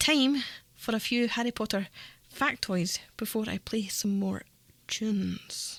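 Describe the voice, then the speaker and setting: Pausing long and often, a woman with a fairly high pitch talks at a fairly slow pace with ordinary pitch variation. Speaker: radio presenter. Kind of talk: community radio presenting. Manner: upbeat, cheerful.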